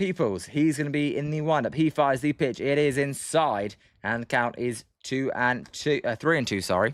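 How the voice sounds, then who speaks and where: Fairly high pitch from a man at a moderate pace, with ordinary pitch variation, hardly any pauses, and a very clean recording with a silent background. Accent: British. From Britain. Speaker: sports livestream commentator. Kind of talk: live commentary. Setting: livestream. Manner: soft-spoken.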